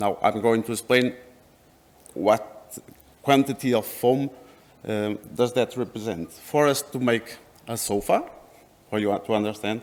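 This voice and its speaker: A man with a non-native accent talks at a medium pitch and a fairly slow pace. His intonation is fairly even, and he leaves long, frequent pauses. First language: not English. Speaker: company representative. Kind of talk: presentation. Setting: workshop with audience. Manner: halting.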